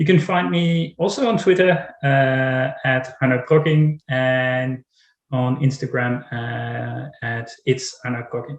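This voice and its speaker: Speaking at a very slow pace, a man with a somewhat breathy, medium-pitched voice uses ordinary pitch variation. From Netherlands. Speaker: writer. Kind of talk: panel discussion.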